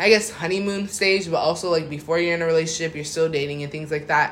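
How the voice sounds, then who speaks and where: A man's pitch rises and falls in an ordinary way, with audible room echo and noticeable background noise around him. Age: 20s. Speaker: podcast host. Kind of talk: casual chat.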